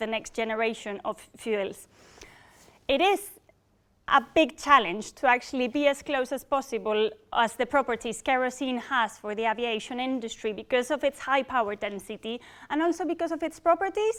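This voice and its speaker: A woman's high-pitched voice in a Spanish accent, at a moderate pace. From Spain. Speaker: engineering program manager. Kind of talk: public talk. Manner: halting.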